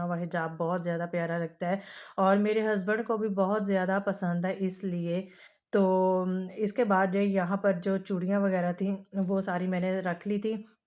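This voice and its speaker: A woman's medium-pitched, monotone delivery with flat intonation, at a fairly slow pace over a quiet background. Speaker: vlogger. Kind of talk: casual vlog narration.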